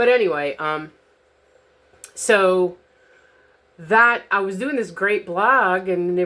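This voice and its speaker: A woman speaks in a bright, sharp tone. Her intonation is lively. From New Orleans. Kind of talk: casual talk to camera. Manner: rambling, hesitant.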